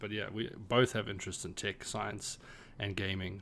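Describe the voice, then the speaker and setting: Speaking at a fairly quick pace, a man uses a fairly low pitch with vocal fry and monotone, flat intonation. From South Africa. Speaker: podcast co-host, tech worker. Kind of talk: casual chat.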